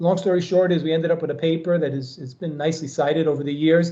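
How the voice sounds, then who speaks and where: In an American accent, a fairly high-pitched man talks at a very fast pace with monotone, flat intonation and audible room echo. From New York. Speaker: professor. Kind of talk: lecture.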